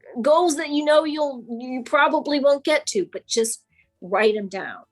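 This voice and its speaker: With music in the background, a woman talks at a fairly slow pace with lively intonation. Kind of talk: coaching presentation.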